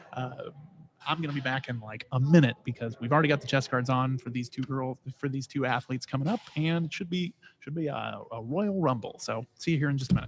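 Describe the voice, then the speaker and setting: A man with an American accent talks at a very fast pace, sounding somewhat breathy. His pitch is medium, with ordinary variation. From Texas. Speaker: sports commentator. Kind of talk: live commentary. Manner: casual; animated.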